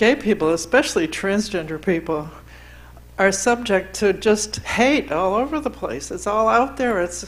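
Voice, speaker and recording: A woman speaks at a medium pitch with vocal fry. Her pitch swings very widely at a moderate pace. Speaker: LGBTQ activist, panelist. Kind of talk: panel discussion.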